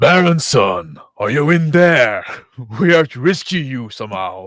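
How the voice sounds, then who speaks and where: A man's put-on character voice at a medium pitch, with very wide pitch swings and a moderate pace. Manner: calling out loudly.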